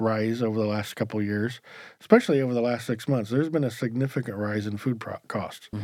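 On a very clean recording with a silent background, a man with an American accent and an ordinary speaking voice talks fairly quickly at a medium pitch. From rural US farming community. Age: 50s. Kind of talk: casual chat.

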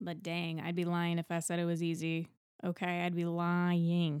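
At a moderate pace, a woman speaks with a fairly low pitch and a dark, mellow tone. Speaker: podcast host and musical theater performer. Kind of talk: solo podcast monologue. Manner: casual, chatty.

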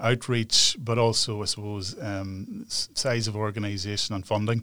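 A man with a Northern Irish accent and a medium pitch. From Northern Ireland, near Newry. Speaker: human rights organisation director. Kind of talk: interview. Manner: hesitant, many fillers.

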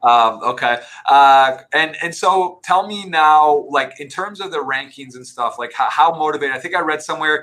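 This man has an ordinary speaking voice, pitched fairly high, with ordinary pitch variation. He talks at a moderate pace with hardly any pauses and big swings in loudness. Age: 30s. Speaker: poker podcast host. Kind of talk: interview.

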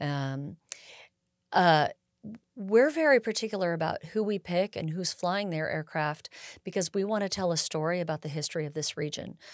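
A normal speaking voice at a moderate pace, ordinary pitch variation, in a very clean recording with a silent background. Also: woman, fairly low pitch for a woman. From California Bay Area. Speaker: air show executive director and pilot. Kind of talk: casual interview.

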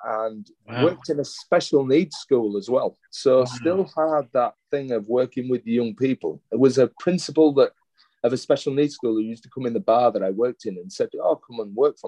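A man speaks with a Yorkshire accent at a medium pitch. His pitch varies in an ordinary way, and the sound is dry and close with no echo. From Yorkshire, England. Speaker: educator and former school leader. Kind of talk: interview conversation. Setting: hotel room.

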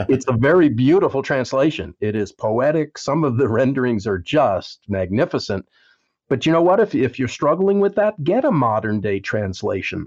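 Over a quiet background, a man at a medium pitch makes very wide pitch swings. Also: moderate pace. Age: 70s. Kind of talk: casual interview. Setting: phone call.

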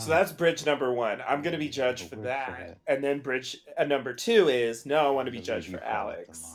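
A man with an unremarkable speaking voice talks at a fairly quick pace. His pitch is fairly high, and his loudness swings widely. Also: lively intonation. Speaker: podcast co-host discussing a TV show. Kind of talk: casual chat. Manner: rambling, many fillers.

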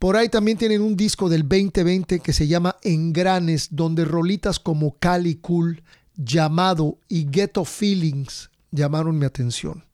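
In a very clean recording with a silent background and a dry, close sound free of echo, a man with a high voice speaks with hardly any pauses. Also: ordinary pitch variation, fairly slow pace. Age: middle-aged. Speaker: podcast host and musician. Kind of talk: casual chat; show intro and announcements.

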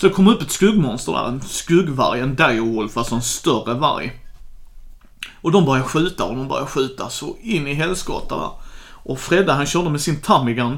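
This man has a normal speaking voice. He talks at a fairly quick pace with lively intonation. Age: 30s. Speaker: podcast co-host, truck driver and board game fan. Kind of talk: casual chat.

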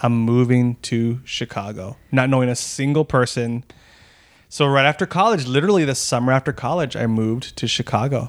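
A man with an American accent has a plain, everyday voice, speaking at a moderate pace in a medium pitch with ordinary pitch variation on a very clean recording with a silent background. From Texas, El Paso. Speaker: actor and improviser. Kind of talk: casual interview chat.

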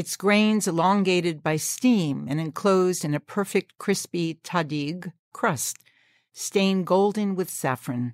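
Here a woman speaks fairly slowly in a plain, everyday voice, at a medium pitch with ordinary variation. The recording is very clean, with a silent background. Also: dry, close sound with no echo. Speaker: podcast host. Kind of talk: interview conversation.

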